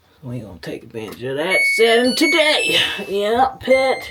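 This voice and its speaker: A woman does the talking. Behind her there is music. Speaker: RV vlogger and animal rescue volunteer. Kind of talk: casual vlog narration. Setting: trailer basement. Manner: casual, animated.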